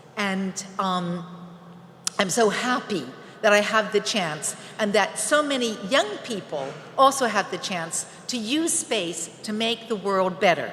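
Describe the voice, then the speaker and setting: A woman talks at a fairly slow pace and medium pitch with lively intonation. Audible room echo and noticeable background noise surround her. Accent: American. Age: 60s. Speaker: space entrepreneur. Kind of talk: conference speech.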